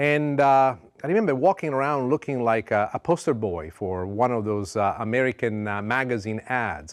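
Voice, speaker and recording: In a very clean recording with a silent background, a man with an Italian accent talks at a moderate pace in a medium pitch with lively intonation. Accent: Italian accent often mistaken for New York. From Sicily, Italy. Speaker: cooking show host. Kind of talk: cooking show talk with personal story. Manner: warm, heartfelt.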